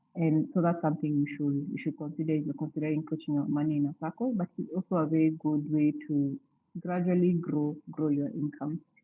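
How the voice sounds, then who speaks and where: A woman speaks at a very deep, low pitch. Her pace is fairly quick. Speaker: financial speaker at church event. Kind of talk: talk / seminar presentation. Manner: halting, many fillers.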